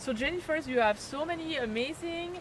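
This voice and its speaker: Over noticeable background noise, a woman with a French accent speaks at a moderate pace with lively intonation. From France, Chalon-sur-Saône. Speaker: nature photographer and tour leader. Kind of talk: casual interview chat. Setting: on location at a birding event. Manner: animated.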